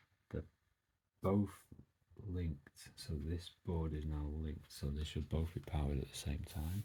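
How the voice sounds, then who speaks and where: A soft-spoken man has a very deep, low pitch and a dark, mellow tone that is somewhat breathy. He talks at a moderate pace with ordinary pitch variation. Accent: British. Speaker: DIY electronics hobbyist YouTuber. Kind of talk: casual tutorial.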